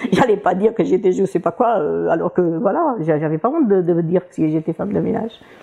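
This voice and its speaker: The speaker goes at a fairly quick pace with ordinary pitch variation against noticeable background noise. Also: woman, medium pitch for a woman. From Portugal. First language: Portuguese (speaking French). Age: 60s. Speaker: retired cleaning lady. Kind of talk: interview testimony. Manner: halting, many hesitations; cheerful, often laughing.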